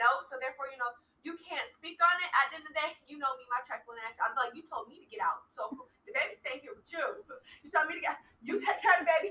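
A woman's raised, projected voice rushes along very fast, high in pitch with very wide swings, big shifts in loudness and a bright, sharp tone. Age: 20s. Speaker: expectant mother. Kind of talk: casual chat.

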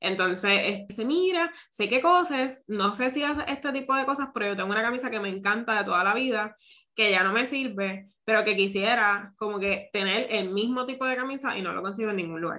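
Fairly quick and fairly high-pitched, a woman talks in a normal speaking voice. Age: 30s. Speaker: podcast host, seamstress and boutique owner. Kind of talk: casual interview.

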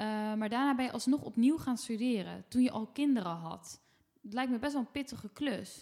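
This woman has a plain, everyday voice. Her delivery moves at a moderate pace. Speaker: podcast host. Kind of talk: casual chat. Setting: at home.

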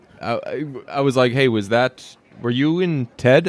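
With an American accent, a man speaks at a medium pitch and with ordinary pitch variation. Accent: slight Boston tinge when speaking fast. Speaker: podcast co-host. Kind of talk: casual chat. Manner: animated.

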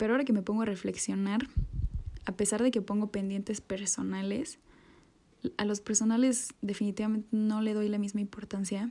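A woman of medium pitch speaks at a fairly quick pace in a dark, mellow tone. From Mexico. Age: 20s. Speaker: university student. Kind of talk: personal reflective monologue.

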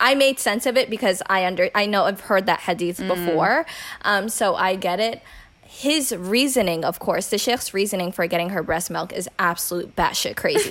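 A woman speaks at a moderate pace in an unremarkable speaking voice, pitched in the medium range. Her intonation is lively. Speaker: podcast host. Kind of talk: casual chat.

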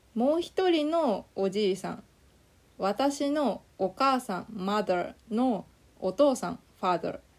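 A woman talks at a very slow pace and a fairly high pitch. Her pitch swings very widely. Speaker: Japanese language teacher. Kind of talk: slow scripted lesson narration with English glosses. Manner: slow and clear.

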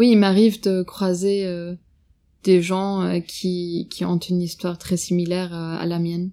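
With a German accent, a woman speaks at a fairly low pitch in a dark, mellow tone, her intonation monotone and flat at a fairly slow pace, on a very clean recording with a silent background. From Germany (Bavaria), Russian-German family. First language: German (speaking French). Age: young. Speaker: podcast guest recounting family history. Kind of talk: personal family testimony. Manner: hesitant, many fillers.

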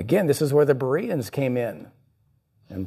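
The tone is dark and mellow, and somewhat breathy. The pace is moderate. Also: man. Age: 50s. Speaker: pastor. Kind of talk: sermon. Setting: church.

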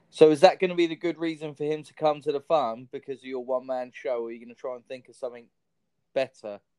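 Speaking very fast with a southern English accent, a man has a fairly high pitch and a dark, mellow tone, with big swings in loudness and a dry, close sound with no echo. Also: ordinary pitch variation. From Southampton, southern England.

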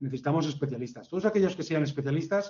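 A man speaks in a somewhat breathy, fairly high voice with ordinary pitch variation. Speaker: hotel general manager. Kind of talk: interview.

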